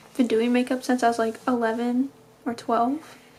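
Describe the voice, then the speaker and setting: With music in the background, a woman speaks at a moderate pace in a high, monotone voice with flat intonation. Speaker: vlogger. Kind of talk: casual vlog talk to camera.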